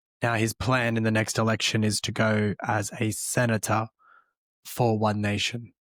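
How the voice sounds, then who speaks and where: A man with a medium-pitched voice, an Australian accent and a flat, monotone delivery at a moderate pace, in a dry, close sound with no echo over a silent, very clean background. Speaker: political commentary podcast host. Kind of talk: news commentary monologue.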